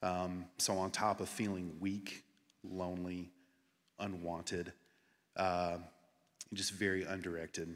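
A man with an American accent speaks at a fairly slow pace in a very deep, low voice, his intonation flat and monotone, with long, frequent pauses. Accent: Southern US, toned down. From rural US Southeast. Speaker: church elder candidate. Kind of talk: testimony.

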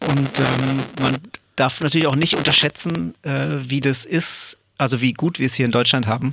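A plain, everyday voice moves at a moderate pace with ordinary pitch variation and very even loudness. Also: man, medium pitch for a man. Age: 40s. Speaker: professional drummer and percussionist. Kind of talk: casual interview. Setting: at home, remote recording.

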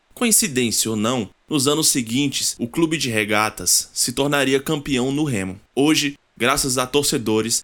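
In a very clean recording with a silent background, a man with an ordinary speaking voice talks at a fairly slow pace, his medium pitch showing ordinary variation. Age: 20s. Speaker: university student podcast host. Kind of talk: scripted narration.

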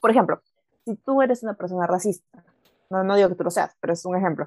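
A dark, mellow tone comes through with a dry, close sound with no echo. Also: woman. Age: 20s. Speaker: student podcast co-host. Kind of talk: casual chat.

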